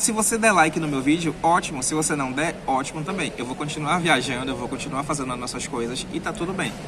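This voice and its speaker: Noticeable background noise and audible room echo surround a voice whose pitch varies in an ordinary way. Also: man, fairly high pitch for a man, fairly quick pace. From Brazilian Northeast. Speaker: travel vlogger. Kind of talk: vlog monologue. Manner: animated, emphatic.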